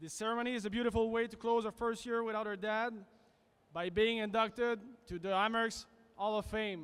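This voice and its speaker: Someone with a French accent talks at a fairly quick pace with fairly even intonation. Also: man, high pitch for a man. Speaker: son of inductee. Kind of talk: ceremony speech. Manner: halting.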